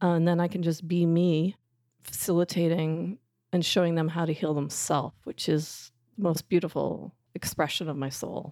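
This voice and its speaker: Her voice is fairly low, with a dark, mellow tone. The woman speaks at a moderate pace in a monotone, flat intonation. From Canada. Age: 50s. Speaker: transformational coach and healer. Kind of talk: casual interview chat.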